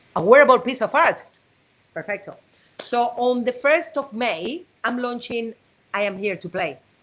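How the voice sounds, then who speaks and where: In a high pitch, a woman speaks with an animated tone and lively intonation, leaving long, frequent pauses. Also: moderate pace. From Spain, Madrid. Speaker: abstract artist. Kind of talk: interview.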